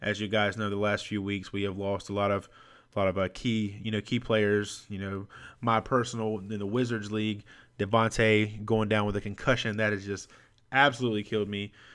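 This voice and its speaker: A man talks at a fairly quick pace in a fairly low voice. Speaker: fantasy sports podcaster. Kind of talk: solo podcast episode with fantasy football advice. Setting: home recording with USB microphone. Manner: fast talker; excitable, energetic.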